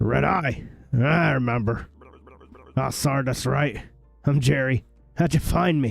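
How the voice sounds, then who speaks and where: A man's raspy put-on character voice at a medium pitch and a fairly slow pace, with long, frequent pauses and faint music in the background. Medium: game stream.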